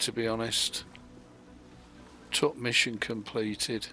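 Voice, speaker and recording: Over music in the background, a man speaks at medium pitch. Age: 60s. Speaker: gaming streamer. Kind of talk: live gameplay stream chat. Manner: casual, hesitant with fillers.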